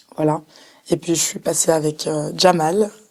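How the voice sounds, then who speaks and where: Her pitch sits very deep and low. The woman's intonation remains fairly even. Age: 20s. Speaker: singer-songwriter. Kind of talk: casual interview.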